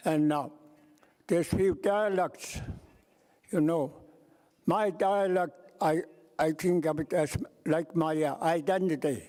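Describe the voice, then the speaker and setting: A dark, mellow voice with an Alaskan accent speaks in a fairly even intonation. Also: man, high pitch for a man. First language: Yupik. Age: 80s+. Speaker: elder delegate. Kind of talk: meeting remarks. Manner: halting.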